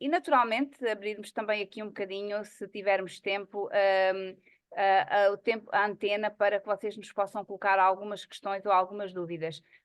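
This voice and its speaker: Against a quiet background, a woman with an ordinary speaking voice talks at medium pitch, with fairly even intonation and hardly any pauses. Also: moderate pace. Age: 50s. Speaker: psychologist and network marketing presenter. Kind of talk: online presentation meeting.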